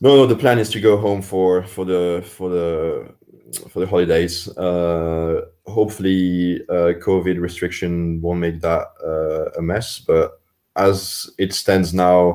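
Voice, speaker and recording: A man with a Swiss French accent speaks at a very slow pace in a dark, mellow tone. His pitch is very deep and low, with fairly even intonation. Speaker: Olympic rower. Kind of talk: interview. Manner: hesitant, many repetitions and fillers.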